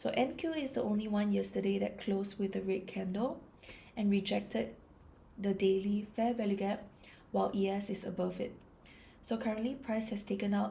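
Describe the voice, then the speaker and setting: In a calm tone, a woman speaks at a moderate pace with a medium pitch and a dark, mellow, somewhat breathy sound. Her loudness is very even and her intonation fairly even. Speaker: trader. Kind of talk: ASMR trading chart analysis.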